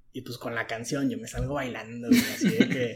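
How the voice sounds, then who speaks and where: A man talks at a moderate pace with a fairly high pitch. He has a normal speaking voice. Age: 20s. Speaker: university student. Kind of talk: casual chat.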